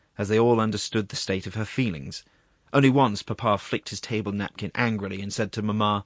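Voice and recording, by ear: Natural-voiced reading aloud with a mostly level intonation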